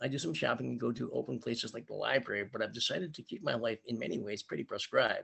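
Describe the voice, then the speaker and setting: A man speaks at a very fast pace. He barely pauses at all. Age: 60s. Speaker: 12-step meeting speaker. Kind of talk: testimony. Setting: video call. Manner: reading from a script.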